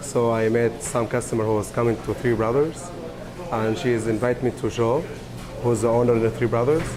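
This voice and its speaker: Someone with an Arabic accent speaks at a fairly quick pace with fairly even intonation and very even loudness while music plays in the background. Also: man, medium pitch for a man. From Syria. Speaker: restaurant worker, refugee. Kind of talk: interview testimony. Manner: halting.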